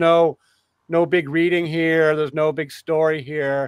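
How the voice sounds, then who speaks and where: A fairly high-pitched man, dry and close with no echo, in a very clean recording with a silent background. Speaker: podcast host. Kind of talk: casual discussion livestream. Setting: live stream with co-hosts. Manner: fast; halting, many fillers.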